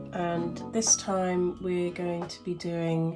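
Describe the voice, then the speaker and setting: Over music in the background, a woman speaks with a fairly low pitch. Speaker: crochet tutorial maker. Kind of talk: casual tutorial talk to camera.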